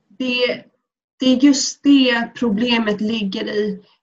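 At a very slow pace, a woman talks at a fairly high pitch with fairly even intonation. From Sweden. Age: 20s. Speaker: student and activist. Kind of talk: personal testimony. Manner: halting.

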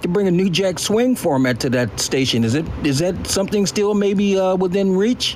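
Through noticeable background noise, a man speaks at a moderate pace with a high pitch. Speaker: audience member, radio veteran. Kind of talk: casual question. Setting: audio chat app room.

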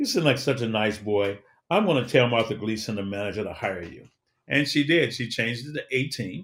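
A man speaks with an American accent in a plain, everyday voice. His pitch is medium, with ordinary variation, and his pace is moderate. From Chicago. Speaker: motivational speaker and media entrepreneur. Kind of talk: interview.

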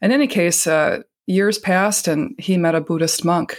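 The speech comes at a moderate pace in a very clean recording with a silent background. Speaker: Zen Buddhist vice abbot. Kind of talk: interview conversation. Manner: calm.

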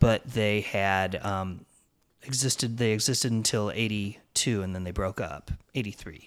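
On a very clean recording with a silent background, a man uses a normal speaking voice at a fairly low pitch, a moderate pace, and ordinary pitch variation. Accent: American. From Illinois, Peoria. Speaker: punk rock musician. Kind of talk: interview.

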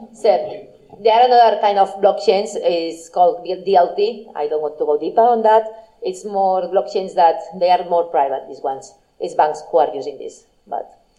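A woman's voice shows big swings in loudness and ordinary pitch variation. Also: medium pitch for a woman, moderate pace. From Spain, Barcelona. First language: Spanish or Catalan. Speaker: blockchain marketing entrepreneur. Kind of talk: talk with Q&A.

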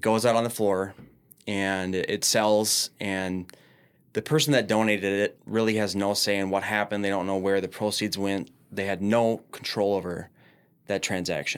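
On a very clean recording with a silent background, a man with an American accent talks in a plain, everyday voice at a moderate pace, with a fairly low pitch and fairly even intonation. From Minneapolis, Minnesota. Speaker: business owner. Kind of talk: podcast interview. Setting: studio.

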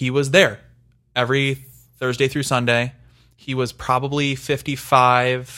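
Recorded very cleanly against a silent background, a man speaks at a moderate pace and medium pitch in a bright, sharp tone. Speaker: podcast host. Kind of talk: casual chat.

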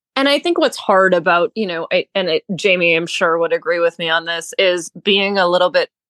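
With an unremarkable speaking voice, a woman speaks at a moderate pace and a fairly low pitch. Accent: American. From New Hampshire, US. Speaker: former show jumper, real estate broker. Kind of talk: casual interview chat.

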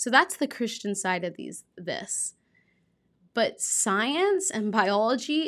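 In a very clean recording with a silent background, a woman with a fairly high pitch speaks at a fairly slow pace in a plain, everyday voice. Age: 20s. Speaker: podcast host. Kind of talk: solo podcast monologue.

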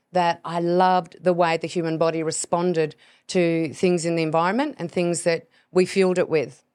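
Against a silent background in a very clean recording, a woman with an Australian accent speaks at a moderate pace and a fairly low pitch. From Tasmania, Australia. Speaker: podcast host and hormone health expert. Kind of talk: casual monologue.

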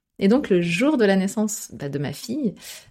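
A woman's dark, mellow tone. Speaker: author. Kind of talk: interview.

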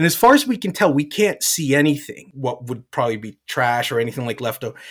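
Using an unremarkable speaking voice, a man with an American accent talks at a fairly quick pace with a fairly high pitch and lively intonation. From New Jersey, US East Coast. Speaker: environmental restoration manager. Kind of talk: interview. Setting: live event.

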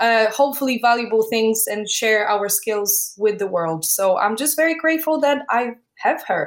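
In a Polish accent, a woman speaks at a moderate pace with a fairly high pitch and lively intonation. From Poland. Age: 30s. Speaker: artist and entrepreneur. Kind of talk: interview.

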